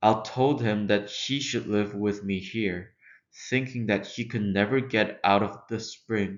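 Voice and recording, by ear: Over a quiet background, the words are read aloud in a natural voice.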